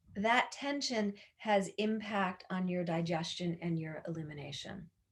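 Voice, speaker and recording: A woman speaks fairly slowly at a medium pitch, somewhat breathy, with ordinary pitch variation. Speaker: yoga teacher. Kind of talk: instructional talk. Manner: halting with fillers.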